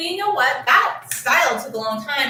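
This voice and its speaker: Moderate-paced speech from a woman with an American accent, with noticeable background noise and audible room echo. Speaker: hair care vlogger. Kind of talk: casual story-time chat. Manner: conversational, many fillers.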